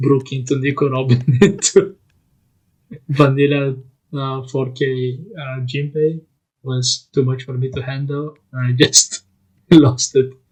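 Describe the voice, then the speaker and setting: Quiet and somewhat breathy, a man at medium pitch talks at a fairly slow pace in a monotone, flat way, with long, frequent pauses and big swings in loudness. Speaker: YouTuber playing card game. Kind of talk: casual chat. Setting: childhood bedroom at night. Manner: quiet, keeping voice down.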